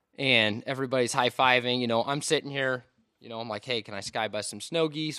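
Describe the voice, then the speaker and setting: A man with an American accent and an ordinary speaking voice talks fairly quickly at a medium pitch with big swings in loudness, in a very clean recording with a silent background. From Washington State. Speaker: outdoor photographer. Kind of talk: casual chat.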